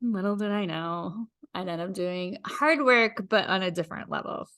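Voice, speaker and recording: Against a quiet background, a woman talks at a moderate pace. Her tone is bright and sharp, with ordinary pitch variation. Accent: Midwestern American. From US Midwest, rural Iowa. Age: 40s. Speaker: podcast host. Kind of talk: personal storytelling monologue.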